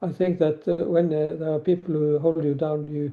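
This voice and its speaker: A man with a Norwegian accent speaks at a fairly high pitch. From Norway. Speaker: novelist and former teacher. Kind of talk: podcast interview. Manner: halting, many fillers.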